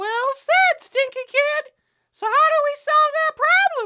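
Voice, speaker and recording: Squeaky and extremely high in pitch, a cartoonish character voice moves along at a fairly slow pace. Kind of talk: comic cartoon overacting. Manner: grandiose, mock-heroic.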